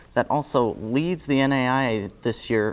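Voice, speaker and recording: A man speaks at a medium pitch with ordinary pitch variation. His is an unremarkable speaking voice. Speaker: student news and sports anchor. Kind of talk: sports anchor read. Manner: casual, joking.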